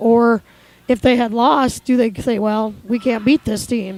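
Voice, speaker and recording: Fairly even intonation in a woman's fairly high voice, with noticeable background noise behind it. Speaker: sports commentator. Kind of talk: live commentary.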